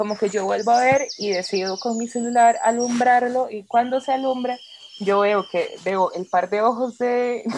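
A woman speaks at a fairly slow pace in a fairly high voice with ordinary pitch variation. Noticeable background noise can be heard. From Costa Rica, Turrialba. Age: 20s. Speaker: witch and punk musician. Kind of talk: casual chat.

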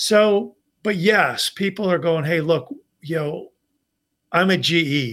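A man is speaking here. His pitch shows ordinary variation. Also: very clean recording, silent background. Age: 50s. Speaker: executive recruiter and former naval flight officer. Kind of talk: casual interview.

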